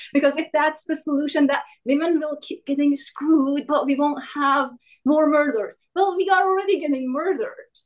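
High-pitched and animated, a woman speaks. Her pitch variation is ordinary. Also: moderate pace. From Iran. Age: 40s. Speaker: live show participant. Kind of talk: casual chat.

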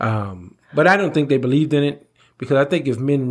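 At a fairly quick pace, a man with a fairly high pitch and a plain, everyday voice talks with ordinary pitch variation on a very clean recording with a silent background. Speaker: podcast co-host. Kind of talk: casual chat.

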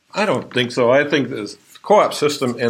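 A man talks at a fairly quick pace with an Upper Midwestern accent. Noticeable background noise runs behind him. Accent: Upper Midwestern American. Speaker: farm co-op general manager. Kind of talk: interview.

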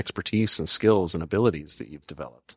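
An unremarkable speaking voice from a man, fairly low in pitch with ordinary pitch variation, dry and close with no echo against a quiet background. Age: 40s. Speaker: podcast co-host. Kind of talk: casual chat.

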